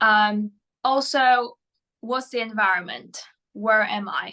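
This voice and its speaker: A woman speaks with a Polish accent in a fairly high voice. Her tone is bright and sharp, and her intonation fairly even. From Poland. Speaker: mental performance coach. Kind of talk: interview. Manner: hesitant, many fillers.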